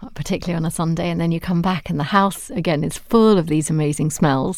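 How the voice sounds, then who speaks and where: Talking at a very fast pace, a woman with a British accent uses a fairly low pitch and ordinary pitch variation. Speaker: psychotherapist. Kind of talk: casual chat.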